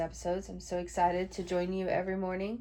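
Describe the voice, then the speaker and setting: This woman has a dark, mellow tone and a fairly low pitch. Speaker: podcast host. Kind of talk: casual unscripted podcast talk.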